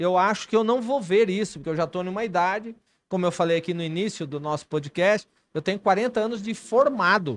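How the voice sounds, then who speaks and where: A man speaks at a high pitch with ordinary pitch variation and a fairly quick pace. The background is quiet. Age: 60s. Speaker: cardiovascular surgeon and vice mayor. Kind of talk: podcast interview.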